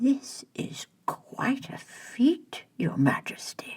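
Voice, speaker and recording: Someone whispers in a put-on character voice at a very slow pace. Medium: read story. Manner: mild, soothing.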